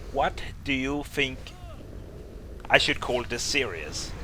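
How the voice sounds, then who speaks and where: Speaking at a fairly slow pace, a man talks with a Danish accent. Noticeable background noise is present. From Denmark. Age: 20s. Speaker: gaming YouTuber. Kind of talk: Q&A video talk to viewers. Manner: casual, with hesitations.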